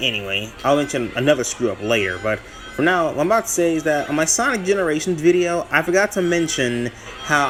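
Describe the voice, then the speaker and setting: Music plays in the background as a man speaks. His delivery is fairly quick, with lively intonation. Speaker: gaming YouTuber. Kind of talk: gameplay commentary. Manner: halting, self-correcting; casual, rambling.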